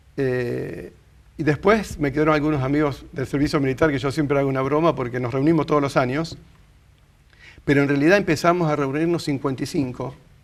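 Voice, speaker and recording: Speaking at a fairly quick pace with a Rioplatense accent, a man uses a fairly high pitch and fairly even intonation. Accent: Argentine Rioplatense Spanish. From Argentina, Rosario. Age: 60s. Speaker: interviewee sharing life story. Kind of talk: interview, casual conversation.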